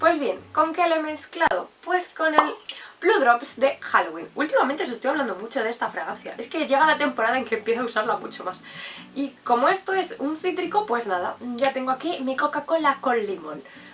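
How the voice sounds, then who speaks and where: Fairly quick speech from a high-pitched woman with very wide pitch swings amid noticeable background noise. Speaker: perfume reviewer. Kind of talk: product review vlog. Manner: fast; animated.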